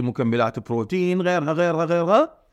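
An ordinary speaking voice from a man, moderate in pace with lively intonation, against a quiet background. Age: 40s. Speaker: fitness coach and nutrition expert. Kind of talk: casual chat.

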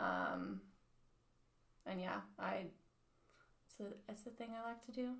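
Amid audible room echo, a woman speaks at a fairly slow pace with long, frequent pauses. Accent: American. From US, military family, various states. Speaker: restaurant server, church member. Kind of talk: casual chat.

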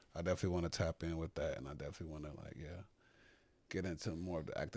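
A man's very deep, low voice at a very fast pace. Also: very clean recording, silent background. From Chicago, South Side. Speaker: stylist and model. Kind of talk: casual chat.

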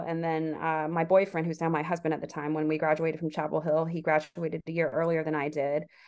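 In a normal speaking voice, a woman with an American accent talks at a fairly quick pace and fairly low pitch against a quiet background. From US South. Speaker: author. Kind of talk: interview.

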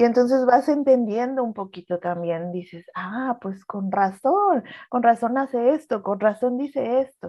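Using a normal speaking voice, a woman talks at a fairly slow pace with lively intonation. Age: 30s. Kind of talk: personal testimony in casual chat.

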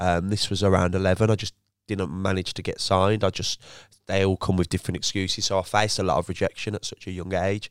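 A man with a Birmingham accent, very deep and low in pitch, talking at a very fast pace with fairly even intonation, on a very clean recording with a silent background and a dry, close sound with no echo. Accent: Birmingham (Brummie). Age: 20s. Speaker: former footballer turned entrepreneur. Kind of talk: casual interview chat.

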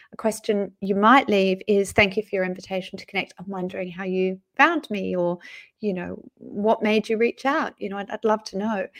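With an Australian accent, the speaker talks at a moderate pace with big swings in loudness, in a dry, close sound with no echo. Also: woman, medium pitch for a woman. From Australia, Sydney. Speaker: LinkedIn marketing consultant. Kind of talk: live interview. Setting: video call. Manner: animated.

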